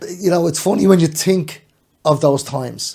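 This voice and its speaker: A man with a Dublin accent speaks at a moderate pace in a dark, mellow, somewhat breathy tone with fairly even intonation. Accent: Dublin Irish. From Ireland, Dublin. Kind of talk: casual chat.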